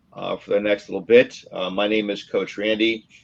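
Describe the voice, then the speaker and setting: A man is speaking. His pitch sits fairly low. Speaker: sports coach. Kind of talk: interactive workshop talk on video call. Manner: fast when excited; hesitant, many fillers.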